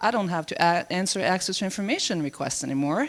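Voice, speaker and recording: The speaker has a French Canadian accent. The pace is moderate. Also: woman. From Canada. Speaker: government information official. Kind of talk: conference presentation.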